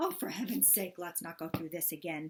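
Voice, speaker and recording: Using a put-on character voice, a woman talks at a fairly quick pace with fairly low pitch and fairly even intonation. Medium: read story. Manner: mournful, whiny.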